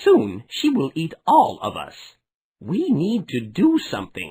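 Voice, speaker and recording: A fairly slow pace in a put-on character voice. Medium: read story.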